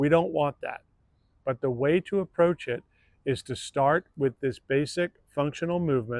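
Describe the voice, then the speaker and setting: A man talks in a normal speaking voice at a fairly high pitch, moving at a moderate pace with ordinary pitch variation, the sound dry and close with no echo. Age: 60s. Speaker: fitness coach. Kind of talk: channel introduction. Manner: conversational.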